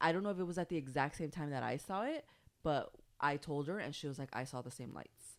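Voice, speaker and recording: A woman with a very deep, low pitch speaks very fast in a Spanish accent. Her pitch variation is ordinary, and the recording is very clean with a silent background. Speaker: podcast host. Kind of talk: casual chat.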